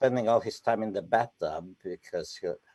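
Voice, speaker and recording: A man speaks with a Romanian accent. His pace is moderate. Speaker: poet and novelist. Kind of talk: live interview. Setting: live event.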